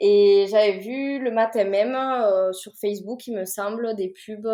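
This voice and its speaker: A woman speaks with a dark, mellow tone at a medium pitch. Her pitch varies in an ordinary way. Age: 20s. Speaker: nurse, rally participant. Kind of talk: podcast interview.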